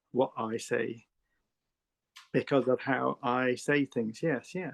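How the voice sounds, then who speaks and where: In a southern English accent, a man speaks at a medium pitch and a very slow pace. His intonation stays fairly even. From England. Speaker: artist. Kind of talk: interview. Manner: halting.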